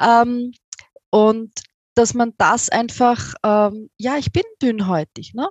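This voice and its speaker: A woman with an Austrian accent speaks at a very slow pace with long, frequent pauses. Her fairly high voice shows ordinary pitch variation in a dry, close sound with no echo. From Austria, near Vienna. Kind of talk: interview. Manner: hesitant, with filler sounds.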